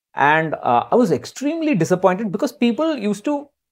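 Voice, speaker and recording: A man speaks, his pitch swinging very widely up and down. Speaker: personal finance co-host. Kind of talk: podcast discussion.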